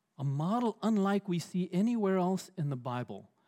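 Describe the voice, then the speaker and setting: In a high pitch for a man, with a dark, mellow tone, he speaks at a fairly slow pace and swings his pitch very widely, on a very clean recording with a silent background. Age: 60s. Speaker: pastor. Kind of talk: sermon.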